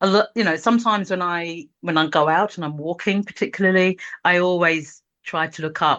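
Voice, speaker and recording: A woman talks fairly quickly, with the background quiet. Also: fairly low pitch for a woman, ordinary pitch variation. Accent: London. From London. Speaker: multidisciplinary artist. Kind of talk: casual interview conversation.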